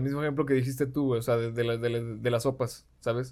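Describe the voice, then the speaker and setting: In a very clean recording with a silent background, a man speaks with a Mexican accent. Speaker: podcast guest. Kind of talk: casual chat.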